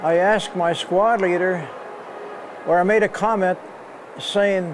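Over noticeable background noise, a man speaks at a high pitch and a very slow pace. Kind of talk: interview answer. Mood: earnest, reflective.

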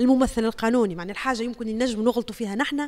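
The speaker has a Tunisian accent. The pace is very fast. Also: woman. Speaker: TV journalist; journalist. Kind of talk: testimony. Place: home room. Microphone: handheld.

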